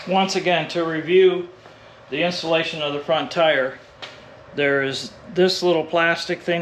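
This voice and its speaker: With noticeable background noise behind him, a man talks at a moderate pace and with fairly even intonation. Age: 60s. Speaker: e-bike reviewer, YouTuber. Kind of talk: tutorial. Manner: casual, step-by-step explanatory.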